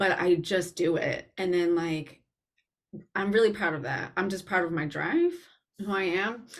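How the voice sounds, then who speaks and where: Recorded very cleanly against a silent background, a woman at a medium pitch talks at a moderate pace with ordinary pitch variation in a normal speaking voice. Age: 40s. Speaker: personal stylist and podcast host. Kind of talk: casual chat.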